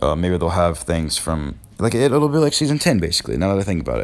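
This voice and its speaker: Music plays in the background as a man speaks at a very deep, low pitch. His pace is fairly quick, with very wide pitch swings. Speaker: gaming youtuber. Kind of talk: casual talk to camera. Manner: halting, repeating words; filler-heavy, says you know often.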